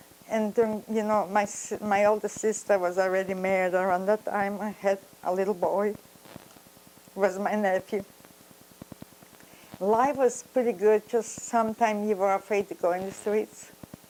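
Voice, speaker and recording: Speaking at a moderate pace with long, frequent pauses, a woman keeps a medium pitch and a monotone, flat intonation over noticeable background noise. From Poland, Grodno. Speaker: Holocaust survivor. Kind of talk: testimony. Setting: interview. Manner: halting.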